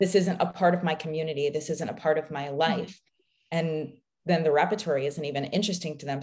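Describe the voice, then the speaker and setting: A woman with an American accent speaks very fast in a very deep, low pitch, her voice somewhat breathy and her intonation fairly even. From US Pacific Northwest. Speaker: professional ballet dancer. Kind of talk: casual interview.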